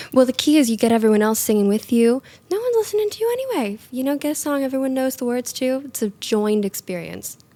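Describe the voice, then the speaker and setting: With an American accent, a woman speaks very fast at a high pitch with lively intonation. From US South, North Carolina. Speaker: singer-songwriter and model. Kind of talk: casual chat.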